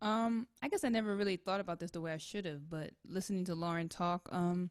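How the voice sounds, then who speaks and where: A woman speaks with an American accent in an ordinary speaking voice, medium in pitch with ordinary pitch variation, at a fairly quick pace. The recording is very clean and silent in the background, with a dry, close sound and no echo. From New York City, Washington Heights. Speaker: saxophonist. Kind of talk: casual chat.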